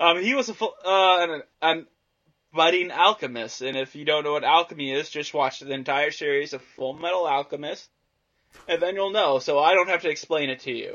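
A man with an unremarkable speaking voice talks at a fairly quick pace. His pitch is fairly high, with ordinary variation. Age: 20s. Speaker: podcast co-host. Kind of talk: casual chat.

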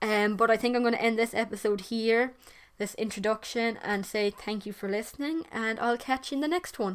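With an Irish accent, a woman talks at a fairly quick pace. Her pitch is fairly high and varies in an ordinary way. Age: young. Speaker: podcast host. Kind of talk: solo monologue. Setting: bedroom. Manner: casual, hesitant.

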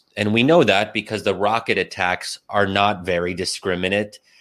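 On a very clean recording with a silent background, a man with an American accent speaks at a fairly low pitch in a bright, sharp tone. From US, Pennsylvania. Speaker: think tank scholar and writer. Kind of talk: interview. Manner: hesitant, frequent fillers.

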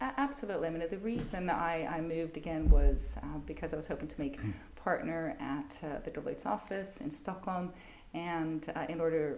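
In an American accent, the speaker uses lively intonation at a moderate pace with big swings in loudness, over noticeable background noise and audible room echo. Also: woman, fairly low pitch for a woman. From Germany, with summers in Sweden and years in California. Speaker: business executive and company director. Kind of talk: interview.

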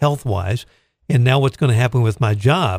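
A man talks at a moderate pace with a medium pitch. He has a normal speaking voice with ordinary pitch variation. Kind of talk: radio interview. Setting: radio studio.

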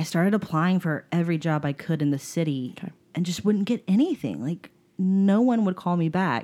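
With an American accent and a normal speaking voice, a woman talks fairly quickly at a fairly low pitch, with ordinary pitch variation. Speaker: podcast guest. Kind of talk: casual chat.

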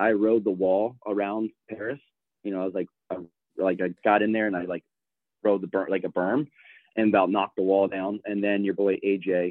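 The man has an unremarkable speaking voice, fairly low in pitch. He moves at a fairly quick pace with fairly even intonation. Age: 30s. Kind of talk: casual chat.

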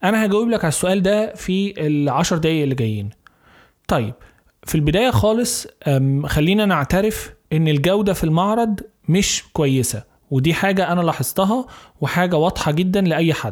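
A man with a Cairo accent speaks at a high pitch with lively intonation. His loudness stays very even. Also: moderate pace. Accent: Egyptian Arabic (Cairo). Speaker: gardening YouTuber and podcaster. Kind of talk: solo podcast monologue.

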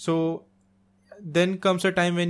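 In an Indian accent, a man speaks with monotone, flat intonation. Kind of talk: casual chat. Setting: home recording.

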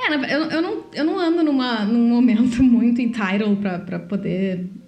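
A woman's fairly high voice comes through audible room echo and noticeable background noise. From Brazil. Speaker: podcast co-host. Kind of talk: casual chat.

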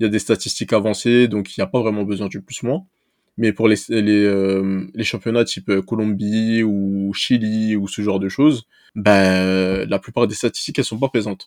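A man with an ordinary speaking voice, fairly low pitch and fairly even intonation at a moderate pace, in a dry, close sound with no echo and a very clean recording with a silent background. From Paris region, Seine-Saint-Denis. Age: 20s. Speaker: amateur football scout. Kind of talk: casual interview.

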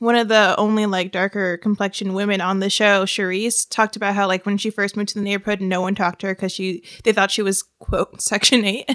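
A woman's bright, sharp tone with an American accent, medium pitch and a fairly quick pace. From US suburbs. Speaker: podcast co-host. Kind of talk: casual chat.

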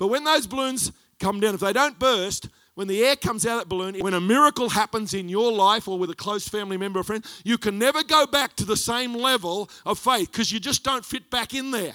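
A man in an Australian accent uses a raised, projected voice with a high pitch and a bright, sharp tone. He moves at a fairly quick pace with ordinary pitch variation, and the sound is dry and close, with no echo. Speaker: pastor. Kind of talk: sermon. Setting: church.

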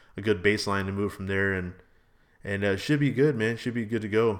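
This is an ordinary speaking voice. The recording is very clean, with a silent background. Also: man. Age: 30s. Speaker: motorcycle vlogger and podcaster. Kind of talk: casual monologue podcast. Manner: casual, filler-heavy.

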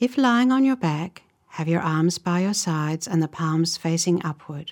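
Speaking at a fairly slow pace, a woman with an unremarkable speaking voice sits at a fairly low pitch. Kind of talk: guided meditation. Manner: slow, calm, soothing, with long pauses between short instructions; gentle, soft-spoken, even and unhurried.

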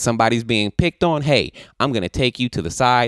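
A man speaks with lively intonation. The recording is very clean with a silent background and a dry, close sound with no echo. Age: 30s. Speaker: comedian podcast host. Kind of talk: casual monologue.

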